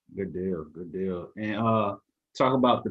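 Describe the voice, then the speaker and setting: A man with a slight Southern US accent, speaking at a moderate pace. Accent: slight Southern twang. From US South, Mississippi. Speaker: podcast host, coach. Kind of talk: interview.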